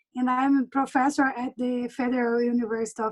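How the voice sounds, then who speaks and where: This is a woman's voice. Her pitch is high. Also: dry, close sound with no echo. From Brazil, Minas Gerais (Uberlândia). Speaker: university professor. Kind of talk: self-introduction. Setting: video call.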